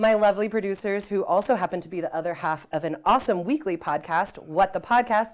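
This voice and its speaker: Speaking at a very fast pace with hardly any pauses, a woman sounds upbeat, her pitch varying in an ordinary way, in a very clean recording with a silent background. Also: medium pitch for a woman. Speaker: horror story host. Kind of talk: casual spooky show hosting.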